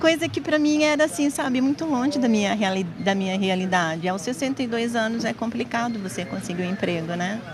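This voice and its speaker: A woman talks at a fairly quick pace with hardly any pauses, her fairly high pitch swinging very widely. Music plays in the background, and room echo is audible. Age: 60s. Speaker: supermarket cashier. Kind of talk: news interview soundbite.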